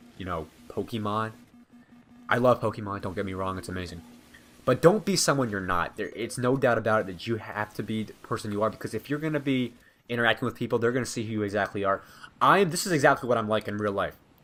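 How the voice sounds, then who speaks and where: Very fast male speech at a medium pitch, with ordinary pitch variation. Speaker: gaming commentator. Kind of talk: gameplay commentary. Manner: sounds like reading from a script.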